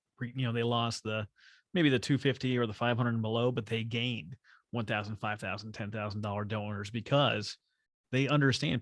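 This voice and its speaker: A medium-pitched man with an ordinary speaking voice and fairly even intonation over a quiet background. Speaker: podcast host. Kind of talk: podcast interview, casual conversation.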